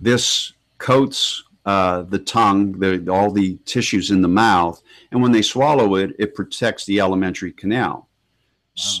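Speaking very slowly at a fairly low pitch, a man shows ordinary pitch variation. The background is quiet. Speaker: guest. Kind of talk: interview answer. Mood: earnest, warning tone. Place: office. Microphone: earbuds.

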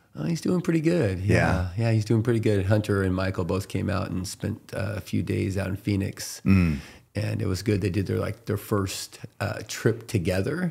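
Somewhat breathy, a man's fairly low voice has a dark, mellow tone and ordinary pitch variation. He talks at a moderate pace. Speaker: podcast guest. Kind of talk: interview answer. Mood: relaxed, friendly, laughing. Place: studio. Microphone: studio mic.

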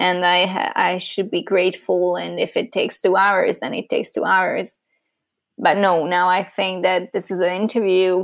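A woman speaks with a Hungarian accent. Her pace is moderate. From Hungary. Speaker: user researcher. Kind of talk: interview conversation.

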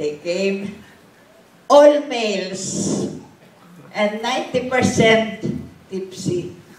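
A woman at a very slow pace, with long, frequent pauses and audible room echo. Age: 80s+. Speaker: evangelist. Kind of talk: personal testimony told to a church audience. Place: church. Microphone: camera far.

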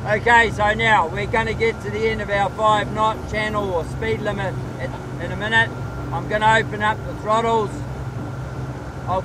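A man talks at a moderate pace, the sound dry with no echo and noticeable background noise behind him. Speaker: tour guide. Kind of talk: tour guide commentary. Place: boat.

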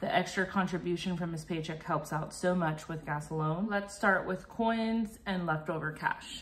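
A somewhat breathy woman's voice, fairly low in pitch, with hardly any pauses. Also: ordinary pitch variation, moderate pace. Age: 30s. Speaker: cash budgeter. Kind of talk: casual talk to camera. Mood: calm, friendly.

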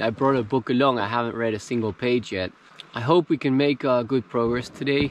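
This man speaks with fairly even intonation over light background noise, in a dry recording with no echo. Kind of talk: casual vlog chat. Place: waterside.

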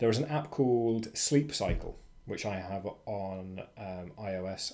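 With a British accent, a man speaks at a fairly low pitch with ordinary pitch variation. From Britain. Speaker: freelancing educator. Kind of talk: casual tutorial monologue. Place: home room. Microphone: webcam.

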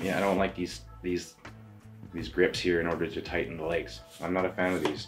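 Faint music plays in the background as a man talks at a moderate pace in a very deep, low voice. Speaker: photography reviewer. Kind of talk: product review talk. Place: home room.

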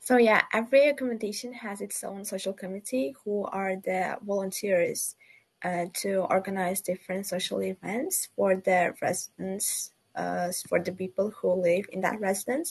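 A woman speaks with a non-native accent. She keeps a moderate pace and ordinary pitch variation. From Uzbekistan, Tashkent. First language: not English. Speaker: student ambassador. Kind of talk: webinar panel discussion. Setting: video call from Uzbekistan. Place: home room. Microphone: video call.

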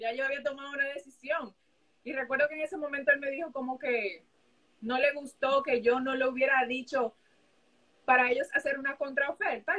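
Projecting her voice, a woman with a Dominican accent speaks at a high pitch in a bright, sharp tone at a moderate pace against a quiet background. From Dominican Republic. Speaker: sports journalist. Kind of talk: live interview chat. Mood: relaxed, reflective. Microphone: video call.

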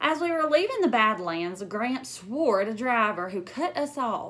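A woman at a fairly slow pace, fairly bright in tone, with audible room echo

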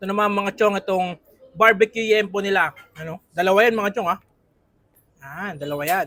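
A man speaks at a high pitch with a bright, sharp tone and a raised, projected voice, using ordinary pitch variation at a moderate pace. His delivery is animated, with big swings in loudness, long, frequent pauses, and a dry, close sound with no echo. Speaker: food vlogger. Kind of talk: casual food review vlog. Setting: on location at a food stall.

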